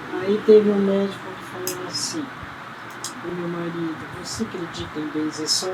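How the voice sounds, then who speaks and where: Fairly slow speech from a woman, amid noticeable background noise and audible room echo. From Brazil, Sertãozinho, São Paulo state. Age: 80s+. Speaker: folk healer. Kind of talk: interview. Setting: at home.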